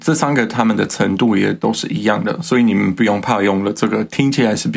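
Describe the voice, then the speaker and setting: With a German accent, the man races along at a very fast pace, his pitch fairly low and its variation ordinary. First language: German (speaking Chinese). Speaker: podcast co-host teaching German. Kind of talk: language lesson chat.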